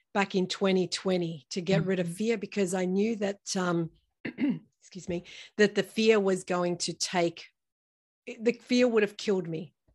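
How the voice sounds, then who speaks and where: Over a very clean recording with a silent background, a normal speaking voice talks at a fairly slow pace with fairly even intonation. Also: woman. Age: 50s. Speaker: breast cancer survivor and entrepreneur. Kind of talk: interview testimony.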